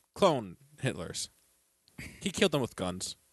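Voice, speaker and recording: A man speaks at a medium pitch and a fairly slow pace. The sound is dry and close with no echo, over a quiet background. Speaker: podcast co-host. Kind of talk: casual chat. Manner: joking, bantering.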